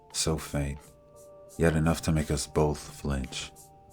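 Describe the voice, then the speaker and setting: A man with a very deep, low voice talks in a calm tone at a very slow pace while music plays in the background. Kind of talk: fiction audiobook narration. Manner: calm, cinematic.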